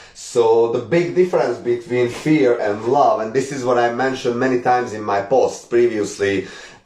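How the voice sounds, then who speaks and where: A man with a Hungarian accent at medium pitch, moderate pace and ordinary pitch variation, hardly any pauses, with noticeable background noise. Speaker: spiritual teacher. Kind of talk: live stream talk. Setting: live stream.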